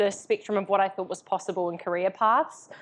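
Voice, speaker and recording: A woman speaks in a strong New Zealand accent. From New Zealand, Invercargill (far south). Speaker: entrepreneur, coaching company founder. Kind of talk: live interview on stage. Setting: live event with audience. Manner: casual, with many fillers.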